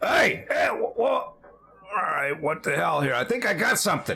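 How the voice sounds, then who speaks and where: Using a put-on character voice, a man talks at a moderate pace in a high, raspy register. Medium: actual play. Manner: casual, rambling, folksy.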